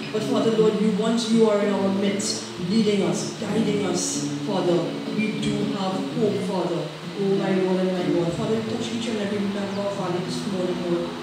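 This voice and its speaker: A woman at a moderate pace, with audible room echo and loud background noise. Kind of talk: opening prayer. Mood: fervent, reverent. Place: church.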